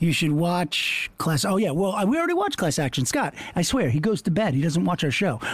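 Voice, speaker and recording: A man talks at a fairly quick pace with hardly any pauses and lively intonation, his pitch high. His loudness stays very even over noticeable background noise. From Long Island, New York. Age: 50s. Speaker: podcast host. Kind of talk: casual chat.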